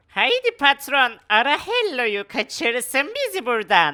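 This female-sounding voice is a put-on character voice, pitched high. It moves at a fairly slow pace. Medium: machinima. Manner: meows now and then.

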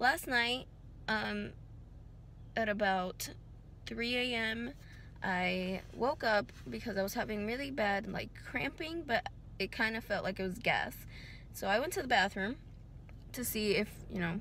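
A woman's bright, sharp voice with vocal fry, at a fairly slow pace with long, frequent pauses, dry with no echo over light background noise. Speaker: vlogger. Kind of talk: casual vlog chat. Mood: worried, recounting a health scare. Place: car. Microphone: phone near.

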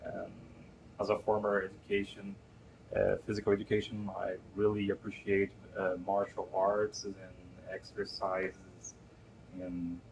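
Speaking with a Brazilian Portuguese accent, a man with a fairly low pitch talks somewhat breathily at a fairly slow pace, in a flat monotone broken by long, frequent pauses, over noticeable background noise. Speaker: game concept artist and creative assistant. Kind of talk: interview answer. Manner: hesitant, halting. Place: office.

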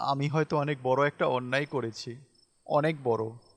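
In a put-on character voice, the speech comes out shaky at a moderate pace, with fairly even intonation. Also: man, fairly high pitch for a man. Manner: trembling, guilt-ridden.

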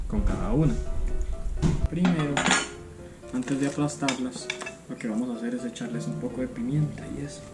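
Loud music plays in the background as a man talks at a moderate pace. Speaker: home cook vlogger. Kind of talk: casual cooking vlog chat. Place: home room. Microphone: camera far.

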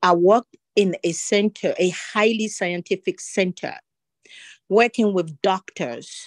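In a French accent, a woman of medium pitch talks at a fairly slow pace with lively intonation, the sound dry and close with no echo and the background quiet. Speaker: government employee. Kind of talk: audience comment. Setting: video call.

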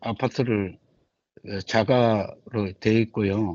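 This is a man speaking. His pitch is medium. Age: 60s. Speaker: retired shipyard worker, taxi driver. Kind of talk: interview. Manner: halting.

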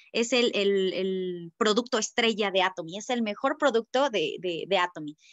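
In a Mexican accent, a woman speaks at a fairly slow pace with lively intonation over a quiet background. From Mexico. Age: 20s. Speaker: network marketing distributor; presenter. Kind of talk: sales presentation. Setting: video call. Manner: hesitant, many fillers. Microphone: video call.

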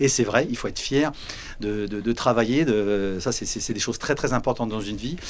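A man's fairly low voice at a moderate pace, with ordinary pitch variation and light background noise. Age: 50s. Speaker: village mayor. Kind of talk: interview. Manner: halting. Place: studio. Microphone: handheld.

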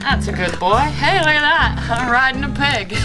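A woman's voice at a moderate pace over clear background music. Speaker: cooking show hopeful. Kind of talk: cooking show audition, talk to camera. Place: farm machine. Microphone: camera far.

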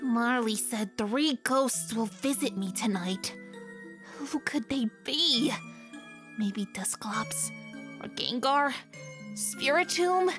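A female-sounding voice in a put-on character voice speaks very slowly at a fairly high pitch, with clear music in the background. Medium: dub.

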